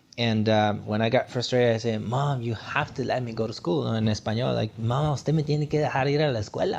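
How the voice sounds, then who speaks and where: This man, with a Guatemalan accent, talks at a very fast pace with hardly any pauses. His pitch is medium, with ordinary variation. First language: Spanish. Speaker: motivational speaker. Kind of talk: podcast interview.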